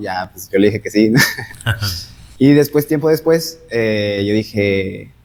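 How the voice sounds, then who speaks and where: Speaking fairly slowly, a plain, everyday voice moves with ordinary pitch variation. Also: man. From northern Mexico, Gómez Palacio. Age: 20s. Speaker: medical interpreter. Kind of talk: casual chat.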